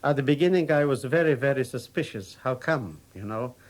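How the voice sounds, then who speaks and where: A man speaks with a Polish accent on a very clean recording with a silent background. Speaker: war veteran. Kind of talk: unscripted personal anecdote.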